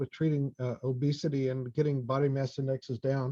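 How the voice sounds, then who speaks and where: A man with an American accent speaks at a fairly quick pace. His tone is dark, mellow and somewhat breathy, and the background is quiet. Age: 60s. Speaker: fertility doctor. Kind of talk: lecture.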